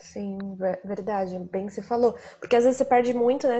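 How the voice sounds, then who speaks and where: A woman talks in a normal speaking voice at a fairly quick pace. Her intonation stays fairly even. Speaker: travel podcast host. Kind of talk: casual interview.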